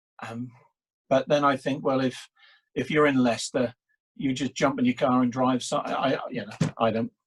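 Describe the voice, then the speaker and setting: Spoken in an English accent at a moderate pace with ordinary pitch variation. Long, frequent pauses break it up, and the sound is dry and close with no echo. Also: man, medium pitch for a man. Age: 60s. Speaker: public speaking coach. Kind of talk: casual interview, storytelling. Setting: video call. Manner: halting, repetitive.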